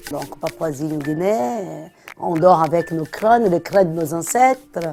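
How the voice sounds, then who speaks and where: Someone speaks at a very slow pace in a Brazilian accent, with noticeable background noise behind them. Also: woman. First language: Portuguese (speaking French). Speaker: antiques dealer. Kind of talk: documentary interview.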